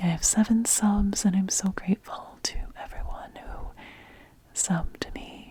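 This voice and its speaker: Whispered words from a woman, fairly slow, against noticeable background noise. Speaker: ASMR creator. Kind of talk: ASMR soft-spoken talk. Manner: soft-spoken; whispering.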